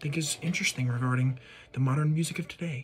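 Faint music plays behind a man's voice. He talks very fast with fairly even intonation. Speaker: music video creator. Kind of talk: casual vlog chat. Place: home room. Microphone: phone near.

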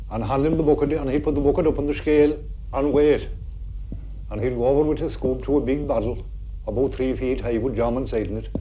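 A man talks at a fairly quick pace with monotone, flat intonation over light background noise. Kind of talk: interview answer. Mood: warm, nostalgic. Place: home room. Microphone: old recording.

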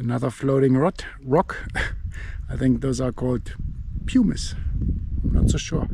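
A man's medium-pitched voice with vocal fry and a dark, mellow tone, at a fairly slow pace, over faint background noise. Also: ordinary pitch variation.

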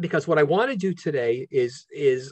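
A somewhat breathy man's voice against a quiet background. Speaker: law professor giving a webinar talk. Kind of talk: lecture. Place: home room. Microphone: video call.

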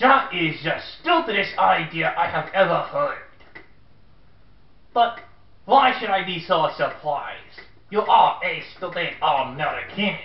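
A put-on character voice moves at a fairly slow pace with long, frequent pauses. There is a slight echo. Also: man, high pitch for a man. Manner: sarcastic, insulting.

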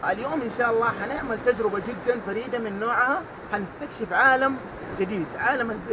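A man speaks in a raised, projected voice at a moderate pace. His pitch varies in an ordinary way over noticeable background noise. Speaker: diving instructor. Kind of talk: tutorial. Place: boat. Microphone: phone near.

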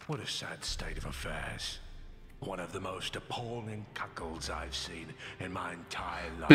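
A man talks at a moderate pace in a very deep, low pitch. Loud background noise runs underneath. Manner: archaic, haughty.

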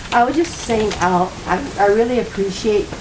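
Her intonation stays fairly even as the woman speaks. Audible room echo and noticeable background noise surround her voice. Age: 80s+. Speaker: resident speaking at public comment. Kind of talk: public meeting discussion.

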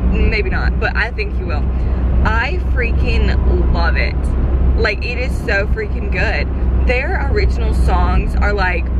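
Over loud background noise, a woman speaks at a very slow pace in a dry sound with no echo. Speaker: vlogger. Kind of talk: casual vlog chat. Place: car. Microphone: phone near.

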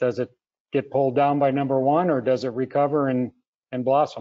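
A man's ordinary speaking voice, moderately paced and medium in pitch. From US Midwest (Minnesota). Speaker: webinar moderator, consultancy co-founder. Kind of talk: moderated webinar panel. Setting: video call webinar.

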